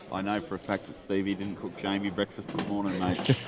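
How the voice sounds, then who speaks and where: A man with an Australian accent and a fairly low pitch talks at a moderate pace. His intonation is fairly even, and noticeable background noise is audible. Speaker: blackball pool commentator. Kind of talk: live commentary. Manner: loud.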